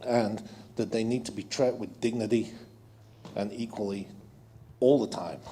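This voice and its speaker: Speaking at a moderate pace with a non-native accent, a man uses a medium-pitched, dark, mellow voice with fairly even intonation. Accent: foreign accent noticeable. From abroad, immigrant. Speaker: audience member. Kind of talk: audience comment at public meeting.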